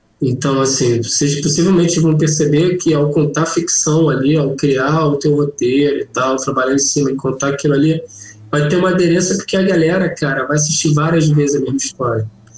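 A man talks fairly quickly at a fairly high pitch, keeping his loudness very even and his intonation fairly even. Noticeable background noise can be heard. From Rio de Janeiro, Brazil. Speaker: cannabis humor content creator. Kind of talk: casual chat. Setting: video call.

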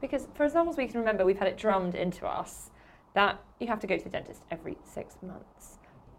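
A woman at a fairly high pitch, very fast, with very wide pitch swings. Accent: southern English. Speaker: podcast host. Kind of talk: casual chat.

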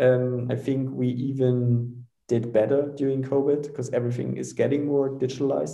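A man with a German accent, medium-pitched with a dark, mellow tone, fairly even intonation, a moderate pace and hardly any pauses, in audible room echo. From Germany. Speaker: startup founder and CEO. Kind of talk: casual interview. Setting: video call.

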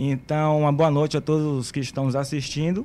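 The voice belongs to a man, pitched fairly high. Its tone is dark and mellow. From Bahia, Brazil (Santo Amaro, Camaçari). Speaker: musician and former footballer. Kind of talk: casual interview chat.

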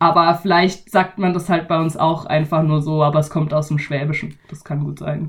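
A woman's very deep, low voice in a Baden accent, monotone and flat, at a moderate pace with hardly any pauses. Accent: Badisch-tinged German. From Baden, Germany. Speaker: podcast host. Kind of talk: casual chat.

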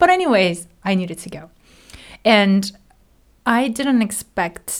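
A woman with a Japanese accent speaks at a fairly slow pace. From Japan, Hiroshima. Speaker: graduate theology student. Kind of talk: casual chat.

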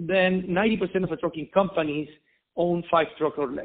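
A man's high-pitched voice at a fairly slow pace. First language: Spanish. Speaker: logistics entrepreneur. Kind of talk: interview. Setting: phone call. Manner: halting.

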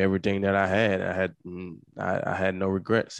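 A man with a Southern US accent speaks at a moderate pace in a very deep, low voice. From Mississippi, US South. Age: 30s. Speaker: retired football player. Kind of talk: interview. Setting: video call.

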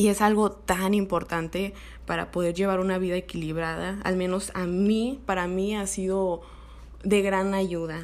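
A woman's medium-pitched voice, fairly slow and monotone, with flat intonation. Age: 20s. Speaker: podcast host. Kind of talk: personal storytelling monologue.

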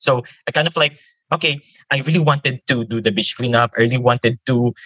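Delivered in a Filipino accent at a fairly quick pace, the voice has a bright, sharp tone and ordinary pitch variation, in a dry, close sound with no echo. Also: man. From Philippines, Metro Manila. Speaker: environmental volunteer. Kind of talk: casual interview. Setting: remote call.

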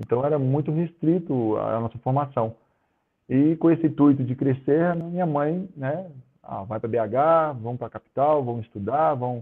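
A man with a plain, everyday voice talks at a moderate pace, pitched fairly high, with ordinary pitch variation. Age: 40s. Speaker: professional volleyball player. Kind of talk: casual interview chat.

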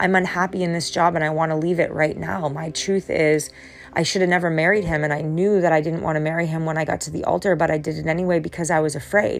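Over noticeable background noise, a woman talks very fast at a fairly low pitch with fairly even intonation. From New Hampshire. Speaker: podcast host and life coach. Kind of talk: solo motivational talk. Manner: halting, repeats words.

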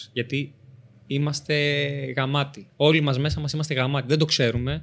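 A man speaks at a moderate pace with a fairly high pitch. His intonation is fairly even, and the recording is very clean with a silent background. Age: 20s. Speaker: Paralympic athlete and personal trainer. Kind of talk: interview.

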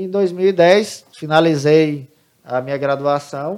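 With fairly even intonation, a man speaks in an ordinary speaking voice at a fairly high pitch. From Santa Catarina, Brazil; grew up from age 10 in Pará. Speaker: computing teacher. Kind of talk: interview.

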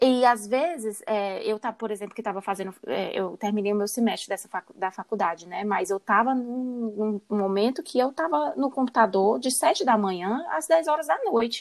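The speech moves at a moderate pace with hardly any pauses. The intonation is lively. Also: woman, fairly high pitch for a woman. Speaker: podcast host, recruiter. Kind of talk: podcast interview. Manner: casual.

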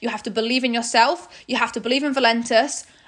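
Speaking very fast with an animated tone, a woman with a British accent uses a fairly high pitch. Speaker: network marketing leader and podcast host. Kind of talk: corporate training talk. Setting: recorded video call training.

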